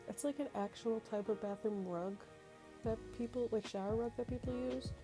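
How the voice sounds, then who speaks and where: Lively intonation from a woman, with music in the background. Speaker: Sims game builder. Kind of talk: casual gameplay voice-over. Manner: hesitant, many fillers.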